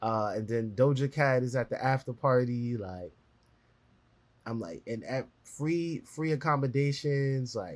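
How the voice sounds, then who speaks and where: A fairly slow delivery with ordinary pitch variation. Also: man, medium pitch for a man. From New York City (Brooklyn). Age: 20s. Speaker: journalist and editor. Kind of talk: interview conversation.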